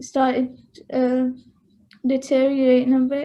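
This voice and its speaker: A woman speaks in a high voice with a dark, mellow tone and a flat, monotone delivery. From northern England, Bury near Manchester. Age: 20s. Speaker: interviewee sharing personal experience. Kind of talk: interview. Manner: halting, many fillers.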